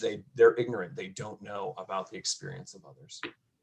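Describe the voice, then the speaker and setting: A somewhat breathy male voice with an American accent. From upstate New York (near Syracuse). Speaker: college educator. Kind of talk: panel discussion.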